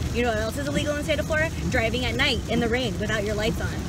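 Loud background noise runs behind a woman's voice. The sound is dry, with no echo. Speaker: vlogger. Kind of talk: casual vlog chat. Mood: irritated rant, then chatty. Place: car. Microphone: phone near.

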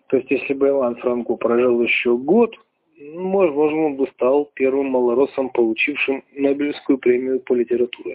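A man at a moderate pace, medium pitch for a man, with ordinary pitch variation.

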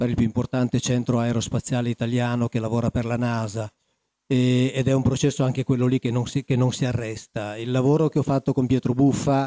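A man speaks in a dark, mellow tone with monotone, flat intonation, the sound dry with no echo against a quiet background. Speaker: conference panelist. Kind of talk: panel talk. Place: hall. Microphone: handheld.

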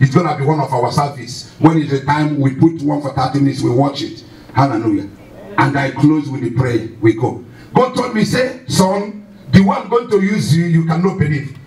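Moderate pace and lively intonation, plus audible echo from the room. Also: man. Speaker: pastor. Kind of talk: sermon. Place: church.

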